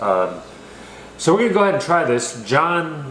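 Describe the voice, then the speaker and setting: Amid audible room echo and noticeable background noise, a man speaks with very wide pitch swings. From California. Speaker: beer reviewer. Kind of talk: casual chat. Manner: casual, filler-heavy.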